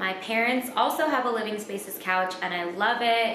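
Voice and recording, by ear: A woman at medium pitch, with audible room echo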